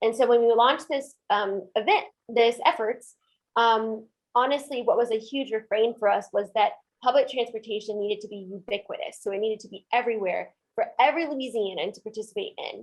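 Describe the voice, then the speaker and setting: A woman talks at a fairly quick pace with a fairly high pitch, ordinary pitch variation and big swings in loudness. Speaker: community organizer. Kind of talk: webinar presentation. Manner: fast.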